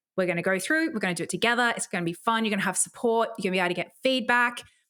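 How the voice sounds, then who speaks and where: With an Australian accent, a woman speaks in an enthusiastic tone with a bright, sharp sound and ordinary pitch variation on a very clean recording with a silent background. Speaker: podcast host and online marketing coach. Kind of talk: podcast monologue with sales pitch. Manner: enthusiastic, casual.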